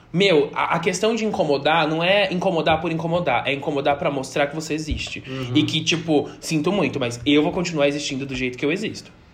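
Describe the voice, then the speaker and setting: The speaker talks at a fairly quick pace with hardly any pauses and ordinary pitch variation, with noticeable background noise behind them. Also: man, fairly high pitch for a man. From interior of São Paulo state, Brazil. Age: 20s. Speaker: drag performer and podcast co-host. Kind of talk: casual chat. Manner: animated.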